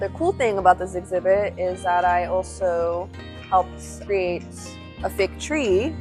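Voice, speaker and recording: Music is playing in the background. Over it, a woman talks at a fairly slow pace. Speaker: museum exhibits preparator. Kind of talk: casual talk to camera, workplace tour.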